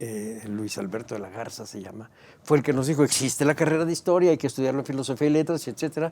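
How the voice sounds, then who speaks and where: Dark and mellow describes this man's tone. His pitch variation is ordinary. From Mexico, Mexico City area. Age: 70s. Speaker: historian and museum director. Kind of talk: interview. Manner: hesitant, with frequent fillers.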